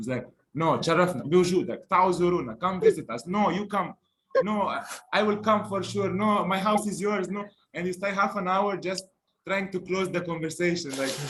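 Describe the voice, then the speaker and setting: A man speaks in a Lebanese accent with a high pitch. His pace is moderate and his pitch variation ordinary. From Lebanon. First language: Lebanese Arabic. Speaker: language teacher. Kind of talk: language lesson.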